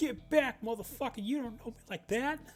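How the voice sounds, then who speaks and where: A put-on character voice at a fairly high pitch and moderate pace. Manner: aggressive, shouting.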